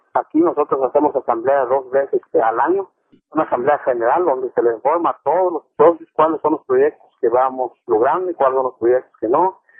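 The delivery moves at a fairly quick pace. Pitch variation is ordinary. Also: man, fairly high pitch for a man. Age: 40s. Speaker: coffee farmer. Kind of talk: interview. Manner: halting.

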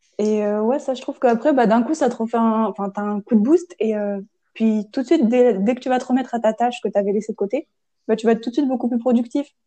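A woman's voice, fairly high in pitch and very fast, its pitch varying in an ordinary way. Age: 20s. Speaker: podcast host, chemistry engineering student. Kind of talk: casual chat.

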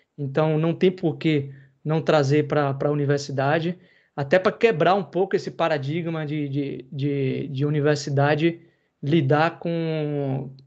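Against a quiet background, a man with a normal speaking voice and a fairly high pitch talks at a fairly slow pace, keeping his intonation fairly even. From interior of Bahia, Brazil. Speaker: podcast host, computing lecturer. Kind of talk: casual chat. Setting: live video stream.

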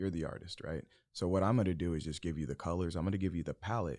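In a very clean recording with a silent background, a man with an American accent talks very fast in a very deep, low pitch with vocal fry. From Arizona, US. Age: 30s. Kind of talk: casual chat.

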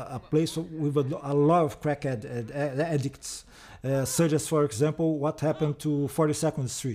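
The speech comes at a fairly slow pace with a Portuguese accent. Intonation stays fairly even throughout. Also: man. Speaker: film historian. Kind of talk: DVD commentary track. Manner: halting, frequent fillers and repetitions.

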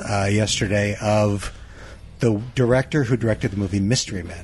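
An unremarkable speaking voice that moves at a fairly quick pace with ordinary pitch variation. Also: man. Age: 40s. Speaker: comic book artist. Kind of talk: casual chat.

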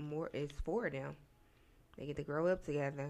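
With fairly even intonation, a woman talks in a soft-spoken manner. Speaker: podcast co-host. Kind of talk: casual chat.

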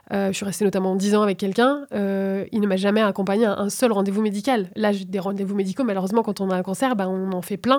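This woman has a normal speaking voice at medium pitch, talking at a fairly quick pace with fairly even intonation. The recording is very clean, with a silent background. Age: 30s. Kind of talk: casual conversation.

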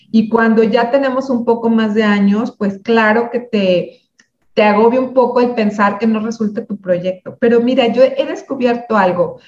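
A woman with a Mexican accent speaks at a moderate pace, her fairly high voice keeping a fairly even intonation. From Mexico, Michoacán. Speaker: speaker and community founder. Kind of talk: interview.

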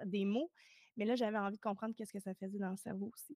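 On a very clean recording with a silent background, a woman with a Quebec accent speaks in a fairly high pitch with ordinary pitch variation, the sound dry and close with no echo. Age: 30s. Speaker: emotional decoding coach. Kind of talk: casual interview.

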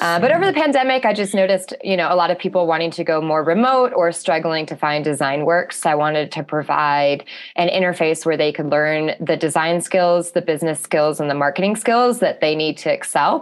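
Someone with a normal speaking voice and an American accent talks at a fairly quick pace, with hardly any pauses, ordinary pitch variation and a quiet background. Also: woman, fairly low pitch for a woman. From Alaska. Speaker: graphic designer and design teacher. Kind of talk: interview.

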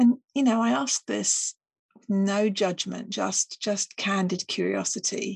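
At a very slow pace, a woman of medium pitch talks with vocal fry and ordinary pitch variation in a dry, close sound with no echo. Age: 50s. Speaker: podcast host. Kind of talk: solo reflective monologue.

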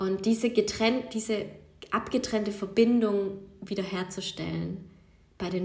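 A woman with a medium pitch talks while noticeable background noise carries on. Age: 20s. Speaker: yoga teacher and podcast host. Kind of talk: casual solo monologue. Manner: unscripted, with many fillers.

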